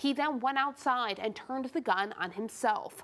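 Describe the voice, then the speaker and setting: A woman's plain, everyday voice in an American accent, at a moderate pace with ordinary pitch variation. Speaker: television news anchor. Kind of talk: TV news anchor delivery. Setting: TV news studio. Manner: clear, serious, measured.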